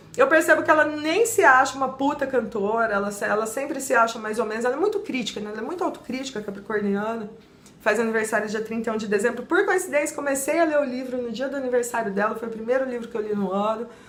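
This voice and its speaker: A woman talks at a very fast pace in a high pitch with an animated tone and hardly any pauses, with audible room echo and noticeable background noise. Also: ordinary pitch variation. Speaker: book reviewer, YouTuber. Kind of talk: book review vlog.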